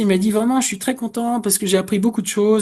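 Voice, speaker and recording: A man is speaking. The background is quiet. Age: 60s. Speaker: career coach. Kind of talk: webinar presentation. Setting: online webinar. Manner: hesitant, many fillers.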